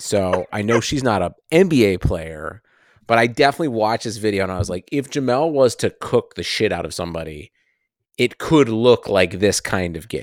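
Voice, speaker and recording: A man with an ordinary speaking voice and fairly low pitch talks at a moderate pace with lively intonation. The recording is very clean, dry and close, with no echo and a silent background. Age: 30s. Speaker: sports podcast co-host. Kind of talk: casual chat.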